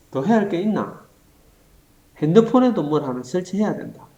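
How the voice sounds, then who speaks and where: A man speaks in a playful tone with a Gyeongsang accent. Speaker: teacher. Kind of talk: humorous tutorial skit in dialogue form. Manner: casual, playful.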